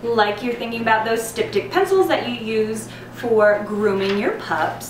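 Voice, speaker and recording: Noticeable background noise runs beneath a woman talking at a moderate pace. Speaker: herbal blogger. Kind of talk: tutorial. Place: home room.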